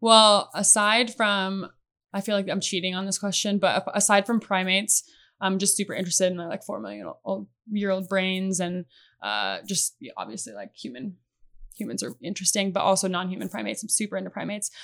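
A woman with a Midwestern American accent talks fairly quickly at a medium pitch, her intonation fairly even but her loudness swinging widely. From US Midwest (Iowa). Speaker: conservation biologist. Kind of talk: casual chat.

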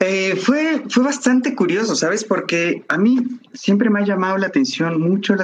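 Speaking with a Mexican accent, a man uses a high pitch. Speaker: technical sales representative. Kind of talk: interview. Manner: hesitant, many fillers.

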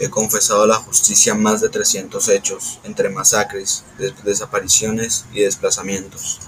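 Noticeable background noise sits behind a man speaking at a fairly slow pace. He takes hardly any pauses. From Colombia, Antioquia (Puerto Berrío). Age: 50s. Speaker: former paramilitary commander. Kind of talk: testimony. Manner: halting.

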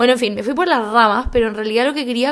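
A woman's high-pitched voice with ordinary pitch variation, in a very clean recording with a silent background. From Chile. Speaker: podcast host and skincare blogger. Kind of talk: casual monologue.

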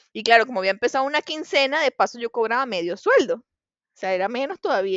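A woman speaks in a Venezuelan accent at a fairly quick pace. Her fairly high pitch carries lively intonation. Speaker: podcast co-host. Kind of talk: casual chat.

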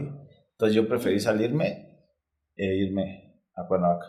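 Speaking at a fairly slow pace, a man with a fairly low pitch shows ordinary pitch variation amid audible room echo. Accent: Mexico City. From Mexico City. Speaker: retired footballer. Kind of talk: casual interview. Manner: casual slangy.

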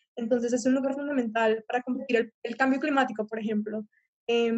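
Music plays in the background. The speech moves at a fairly quick pace. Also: woman. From Colombia. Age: young. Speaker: student climate activist. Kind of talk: panel discussion. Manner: halting, many repetitions.

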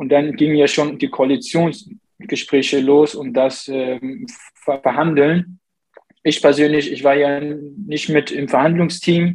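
Speaking at a very slow pace, this man has a fairly high pitch. His pitch variation is ordinary. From Saxony, Germany (born in Iraq). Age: 20s. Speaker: member of parliament, civil engineer. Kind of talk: interview. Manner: hesitant, many fillers.

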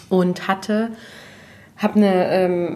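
Noticeable background noise surrounds a woman's voice. She speaks at a very slow pace. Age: 30s. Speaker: natural cosmetics entrepreneur. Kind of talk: casual chat.

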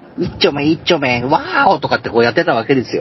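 Noticeable background noise sits behind a man speaking at a medium pitch with lively intonation. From Tohoku, Japan. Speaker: ghost story teller and truck driver. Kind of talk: storytelling. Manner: laughs often.

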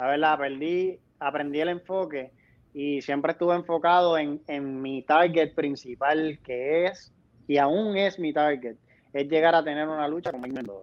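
This man has an unremarkable speaking voice with a fairly high pitch and ordinary pitch variation. He talks at a moderate pace. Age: 20s. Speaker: professional wrestler. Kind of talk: interview.

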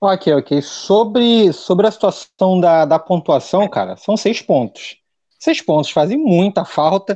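Very slow and high-pitched, a man's dark, mellow voice has lively intonation and very even loudness. The sound is dry and close with no echo over a quiet background. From Realengo, Rio de Janeiro, Brazil. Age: 30s. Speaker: YouTube football channel host. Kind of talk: casual chat.

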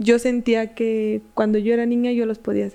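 At a moderate pace, a woman speaks at a fairly high pitch in a dark, mellow tone. Her intonation is monotone and flat. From Mexico, Michoacán. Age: 20s. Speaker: psychologist and fitness influencer. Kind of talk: casual chat, telling horror stories.

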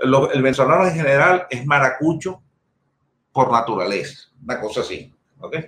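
Ordinary pitch variation marks this man's fairly high voice at a moderate pace. It is an ordinary speaking voice. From Venezuela. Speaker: sales executive in data storage industry. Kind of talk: casual interview chat.

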